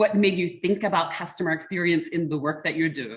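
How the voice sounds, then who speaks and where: A woman with a plain, everyday voice talks at a medium pitch with ordinary pitch variation. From US Mid-Atlantic, Baltimore, Maryland. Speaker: customer experience mentor and association board chair. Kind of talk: online workshop talk.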